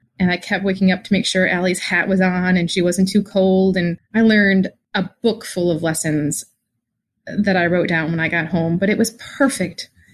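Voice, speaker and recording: A woman speaks somewhat breathily at a medium pitch and moderate pace. The recording is very clean with a silent background. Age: 40s. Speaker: listener, mother. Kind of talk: personal story.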